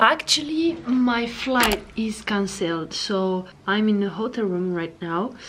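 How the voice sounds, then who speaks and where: Speaking very slowly with hardly any pauses, a woman uses a French accent and a fairly high voice with lively intonation. Noticeable background noise can be heard. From France. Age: 20s. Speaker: travel vlogger. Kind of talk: vlog. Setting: hotel room. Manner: halting.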